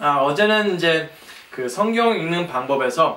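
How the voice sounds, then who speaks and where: Against noticeable background noise, a man with a non-native accent speaks fairly slowly at a fairly high pitch, his pitch swinging very widely. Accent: non-native Korean. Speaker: guest preacher. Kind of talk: sermon. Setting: church. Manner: halting.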